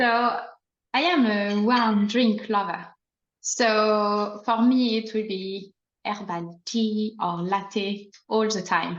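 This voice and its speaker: A woman with a fairly high pitch speaks at a very slow pace with fairly even intonation. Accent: slight French. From France. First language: French. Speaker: plant ecologist and herb farmer. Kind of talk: casual chat.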